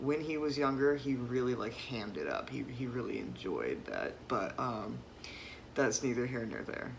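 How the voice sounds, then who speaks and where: Someone with an American accent speaks at a moderate pace over noticeable background noise. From US South. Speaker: vlogger. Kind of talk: personal vlog monologue. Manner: hesitant, many fillers.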